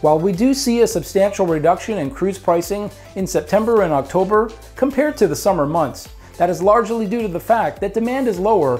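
A man speaks at a fairly quick pace over faint background music. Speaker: cruise show host. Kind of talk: presenter explainer. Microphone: lapel.

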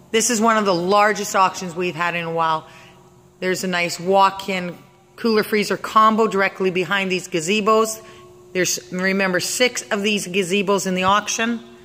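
The delivery is enthusiastic and moderately paced. Faint music plays in the background. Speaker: auction house staff. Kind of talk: auction preview walkthrough narration. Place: factory. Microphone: phone near.

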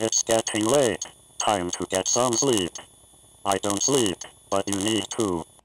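Doing a put-on character voice, a man speaks fairly low and fairly slowly, with long, frequent pauses. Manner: reminding, friendly.

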